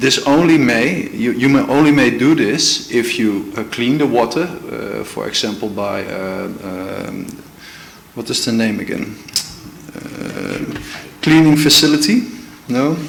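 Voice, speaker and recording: With a Dutch accent, a man talks fairly slowly at medium pitch and lively intonation. Audible room echo and noticeable background noise surround him. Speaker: legal advisor. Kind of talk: formal presentation to a committee. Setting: council committee meeting. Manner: halting, many fillers and restarts.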